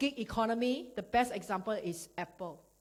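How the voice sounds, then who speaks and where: A woman speaks with a Singaporean accent. Her tone is animated and her intonation lively. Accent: Singaporean English (Singlish). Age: 40s. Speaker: network marketing speaker. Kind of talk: motivational business talk. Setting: stage with audience. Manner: fast.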